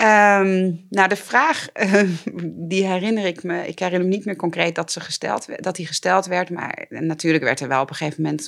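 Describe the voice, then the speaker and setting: A woman speaks at a moderate pace in a fairly low pitch with vocal fry. Her pitch moves with ordinary variation. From Netherlands, Twente (Borne). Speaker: judge, former defense lawyer. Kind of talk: interview conversation. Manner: hesitant with fillers and repetitions.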